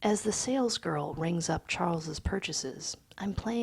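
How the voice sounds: The clip features a natural reading voice.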